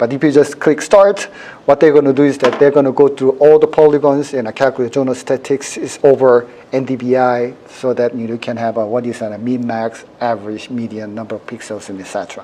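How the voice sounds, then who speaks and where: Over noticeable background noise, a man talks at a fairly quick pace with ordinary pitch variation and big swings in loudness. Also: medium pitch for a man. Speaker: university professor teaching a workshop. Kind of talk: live software demonstration workshop. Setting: workshop room with audience. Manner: fast; many fillers like 'you know'.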